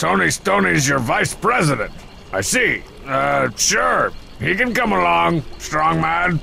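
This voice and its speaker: In a put-on character voice, a man speaks at a fairly slow pace against clear background noise. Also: fairly high pitch for a man. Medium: video game. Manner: sarcastic, smug.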